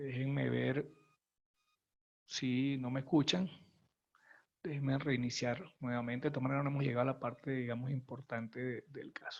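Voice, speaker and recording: A man at medium pitch speaks with monotone, flat intonation. He keeps a moderate pace, broken by long, frequent pauses. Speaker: functional safety consultant. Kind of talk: webinar presentation. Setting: online webinar. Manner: quiet.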